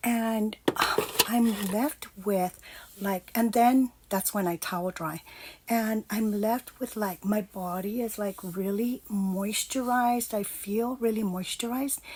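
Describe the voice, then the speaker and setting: Speaking very slowly, a woman with a fairly high, somewhat breathy voice keeps a fairly even intonation in a very clean recording with a silent background. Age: 50s. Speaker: lifestyle vlogger. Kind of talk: casual vlog talk. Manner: hesitant, many fillers.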